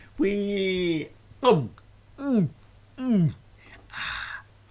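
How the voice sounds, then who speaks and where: A man puts on a character voice. His pitch sits high. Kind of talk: comic storytelling performance. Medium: read story. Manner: chomping, humming while chewing.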